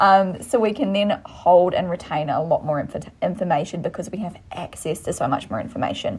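Somewhat breathy, a woman speaks with an Australian accent. Her intonation is lively, and she hardly pauses at all. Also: medium pitch for a woman, moderate pace. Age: 20s. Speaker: podcast co-host. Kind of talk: casual chat.

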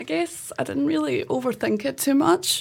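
A woman speaks in a Scottish accent at a moderate pace. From Scotland. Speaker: wheelchair football player. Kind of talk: casual chat. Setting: studio.

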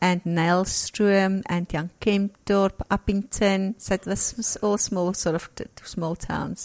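In an Afrikaans South African accent, a woman speaks at a medium pitch with a warm tone and monotone, flat intonation, at a very slow pace with hardly any pauses. The recording is dry and close, with no echo. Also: very clean recording, silent background. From rural South Africa. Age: 50s. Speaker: interviewee sharing faith story. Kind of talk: testimony.

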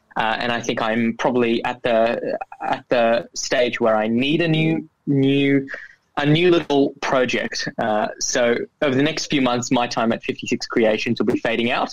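Fairly even intonation marks this man's speech in an Australian accent. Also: medium pitch for a man, moderate pace, very even loudness. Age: 20s. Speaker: youth entrepreneur, social enterprise founder. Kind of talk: interview.

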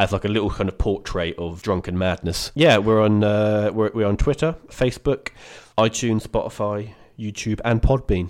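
Recorded very cleanly with a silent background, the speaker has an English accent and talks at a moderate pace with ordinary pitch variation. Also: man, fairly low pitch for a man. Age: 20s. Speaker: podcast guest. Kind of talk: casual chat.

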